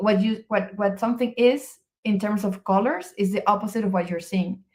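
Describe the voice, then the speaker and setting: A woman in a Spanish accent, somewhat breathy and of medium pitch, with monotone, flat intonation at a moderate pace. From Venezuela. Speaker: research physicist. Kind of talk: interview conversation. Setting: live video stream. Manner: halting, with repetitions.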